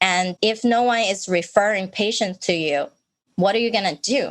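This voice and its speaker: A woman talks at a medium pitch that varies in an ordinary way. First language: not English. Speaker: podcast host. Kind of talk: interview podcast.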